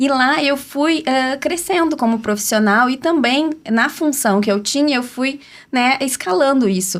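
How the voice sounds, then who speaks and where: Her intonation is lively and her loudness very even. The woman's high voice moves at a fairly slow pace. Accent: southern Brazilian. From Rio Grande do Sul, southern Brazil (city of Rio Grande). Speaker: entrepreneur and brand strategist, podcast panel guest. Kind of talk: personal life story in podcast conversation.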